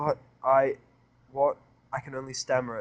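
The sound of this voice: This is an unforced reading voice. It is read aloud.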